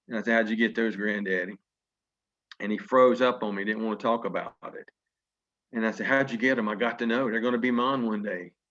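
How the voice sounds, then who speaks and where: A man with a Southern US accent at medium pitch, fairly quick pace, and long, frequent pauses. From Virginia. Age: 50s. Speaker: network marketing leader. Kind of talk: motivational speech. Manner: animated.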